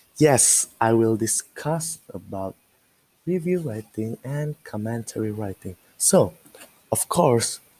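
Slow and dark in a mellow way, this voice has a slightly husky edge and lively intonation. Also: man, fairly low pitch for a man.

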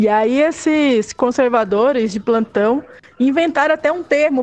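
A woman's voice sits high in pitch. Its variation is ordinary. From northern Brazil, Belém do Pará. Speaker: physical education teacher and activist. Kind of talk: casual chat.

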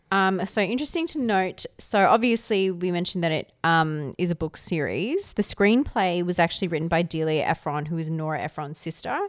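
On a very clean recording with a silent background, a woman speaks at a fairly low pitch and a fairly quick pace. She leaves hardly any pauses, and her pitch varies in an ordinary way. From Canberra, Australia. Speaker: podcast co-host. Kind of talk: casual chat.

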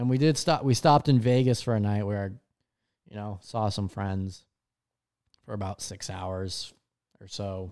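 A man's fairly low voice with a dark, mellow tone and ordinary pitch variation, at a moderate pace with long, frequent pauses, in a very clean recording with a silent background. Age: 20s. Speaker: podcast host and aspiring comedian. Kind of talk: casual solo monologue.

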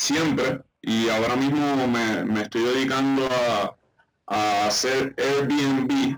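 A man is talking here. For a man, his voice is fairly high. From Puerto Rico (Isabela). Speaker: basketball coach and entrepreneur. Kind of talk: interview. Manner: halting, many fillers.

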